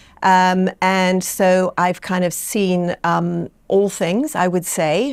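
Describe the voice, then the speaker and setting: With an English accent, a woman speaks at a medium pitch in a very clean recording with a silent background. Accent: sounds very English. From Bermuda. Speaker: doula and childbirth educator. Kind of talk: interview. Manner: halting, many fillers.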